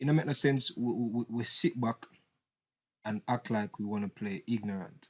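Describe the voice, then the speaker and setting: With a Jamaican accent, a man talks at a moderate pace and medium pitch with ordinary pitch variation, the sound dry and close with no echo. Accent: Jamaican English with patois. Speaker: political commentator. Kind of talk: casual debate. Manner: animated.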